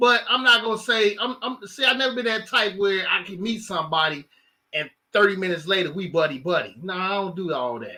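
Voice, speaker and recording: With an American accent, a man raises and projects his high voice, using lively intonation at a fairly quick pace. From Chicago, South Side. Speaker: podcast co-host. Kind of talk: casual chat.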